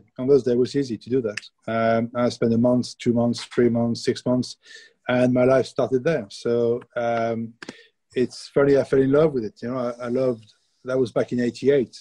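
A French accent in a dark, mellow tone, fairly even in intonation, with a dry, close sound and no echo. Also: man, medium pitch for a man, moderate pace. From France. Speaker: baker and baking school teacher. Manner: casual, chatty storyteller.

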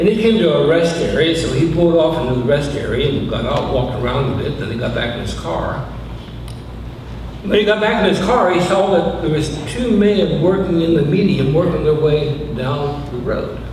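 A man speaks at a moderate pace with lively intonation and a fairly high pitch. Audible room echo and clear background noise surround him.

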